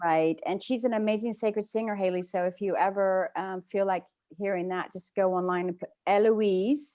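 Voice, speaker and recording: She speaks with a British accent at a moderate pace. Her tone is dark and mellow, and her intonation fairly even. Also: medium pitch for a woman. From England. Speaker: spiritual workshop leader. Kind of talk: workshop Q&A chat.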